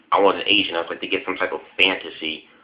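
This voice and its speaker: A man is speaking. He has an American accent. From US Midwest, Chicago. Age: 20s. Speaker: vlogger. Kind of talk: casual vlog monologue. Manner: halting, many fillers.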